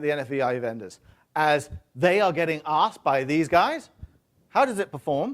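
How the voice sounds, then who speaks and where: A man with a British accent speaks at a fairly high pitch and a moderate pace. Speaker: tech industry presenter. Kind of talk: conference talk. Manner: hesitant, many fillers.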